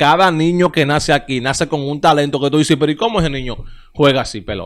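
Against a quiet background, a man speaks at a fairly high pitch. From Dominican Republic. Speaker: baseball YouTube show host. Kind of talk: casual sports commentary monologue. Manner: animated. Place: studio. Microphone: studio mic.

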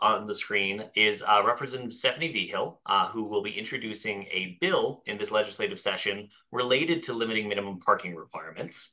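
Against a quiet background, a man talks at a fairly quick pace with hardly any pauses. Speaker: webinar host. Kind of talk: webinar introduction. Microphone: video call.

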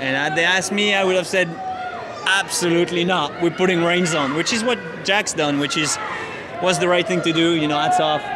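A man talks at a fairly quick pace with ordinary pitch variation while loud background noise plays. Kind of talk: interview answer. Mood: reflective, mildly frustrated. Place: stadium. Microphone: handheld.

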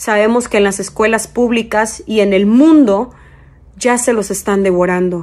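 Speaking at a very slow pace, a woman uses ordinary pitch variation. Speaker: social media commentator. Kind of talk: casual vlog commentary, warning to parents. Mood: earnest, alarmed, urging. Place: home room. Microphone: phone near.

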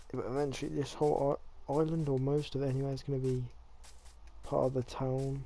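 A man with an English accent and a dark, mellow tone, fairly high in pitch, monotone and flat in intonation, at a fairly quick pace broken by long, frequent pauses. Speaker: gaming youtuber. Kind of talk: gameplay commentary. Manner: casual, halting.

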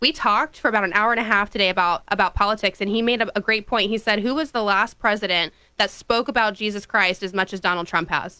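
Over a quiet background, a woman talks at a very fast pace with hardly any pauses, her tone bright and sharp and her pitch varying in an ordinary way. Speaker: radio co-host. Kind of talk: political talk radio. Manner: casual. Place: studio. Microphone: studio mic.

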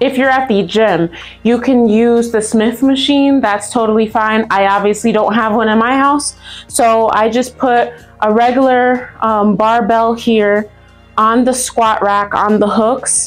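Against faint background music, a woman talks at a fairly slow pace, her loudness very even and her intonation fairly even. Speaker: fitness instructor. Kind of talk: tutorial. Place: gym.

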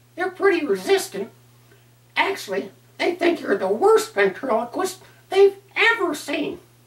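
A man performs a put-on character voice at an extremely high pitch. He keeps a moderate pace but takes long, frequent pauses. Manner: sassy, cheeky.

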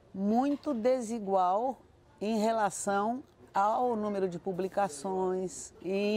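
The sound is dry with no echo as a woman talks. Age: 70s. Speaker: writer, nun and educator. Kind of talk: interview answer. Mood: engaged, thoughtful. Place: garden.

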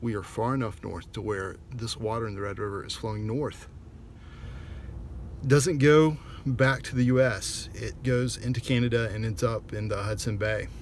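Somewhat breathy speech at a moderate pace, with ordinary pitch variation, comes through as a dry sound with no echo over light background noise. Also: man. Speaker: traveler vlogger. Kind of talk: casual vlog chat. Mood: wry, chatty. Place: car. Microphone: phone near.

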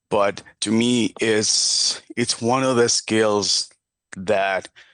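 A man with a Spanish accent, fairly low in pitch, monotone and flat in intonation, against a quiet background. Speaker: parent speaking at public comment. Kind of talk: public comment statement. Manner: halting, with repetitions and fillers.

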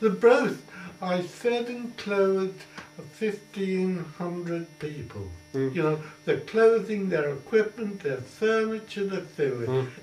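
At a very slow pace, a man with an Essex accent talks in a high pitch, with audible room echo and light background noise. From Colchester, Essex, England. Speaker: war veteran. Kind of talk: oral history interview answer. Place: home room.

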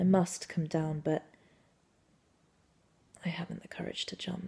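Her voice is fairly low, dark and mellow, with vocal fry. The woman speaks at a fairly slow pace in a monotone, flat intonation. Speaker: actor. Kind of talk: dramatic monologue performance. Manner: intimate, confessional. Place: home room. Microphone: phone near.

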